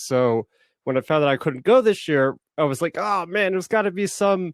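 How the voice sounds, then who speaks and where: At a fairly quick pace, a man speaks in a dry, close sound with no echo. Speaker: small YouTuber and online fan convention panelist. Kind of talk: casual chat. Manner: fast.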